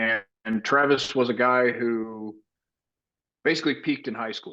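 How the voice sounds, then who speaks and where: A man's bright, sharp voice with an American accent, fairly even intonation and a quiet background. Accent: Texas twang, mostly kept in check. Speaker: actor and veteran. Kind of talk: casual chat.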